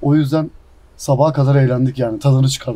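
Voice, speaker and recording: This man's voice is somewhat breathy, with medium pitch and a monotone, flat intonation. He talks at a moderate pace. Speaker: professional footballer. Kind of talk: casual interview. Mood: happy, proud about title. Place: garden.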